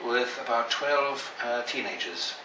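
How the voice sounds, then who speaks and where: Man with a British accent, medium pitch and lively intonation at a fairly slow pace, with audible room echo and noticeable background noise. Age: 60s. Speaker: children's advocate. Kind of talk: interview.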